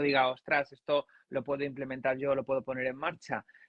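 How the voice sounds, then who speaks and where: A man speaks at a fairly high pitch. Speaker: journalist and communication coach. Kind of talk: casual chat. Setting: live stream.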